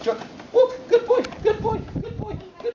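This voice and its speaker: Squeaky, extremely high pitch in a put-on character voice, delivered at a moderate pace. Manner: excited, praising.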